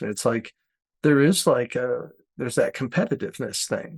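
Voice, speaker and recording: A man speaks at a fairly quick pace in a plain, everyday voice, pitched in the middle of the male range. The sound is dry and close, with no echo. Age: 60s. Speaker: art educator and podcast host. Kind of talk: casual chat.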